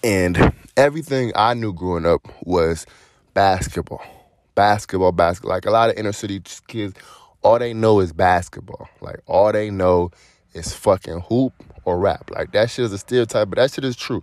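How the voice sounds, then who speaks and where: A man with an American accent and an unremarkable speaking voice, at a moderate pace with ordinary pitch variation, on a very clean recording with a silent background. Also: fairly low pitch for a man. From Cleveland, Ohio. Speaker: podcast host. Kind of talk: casual monologue.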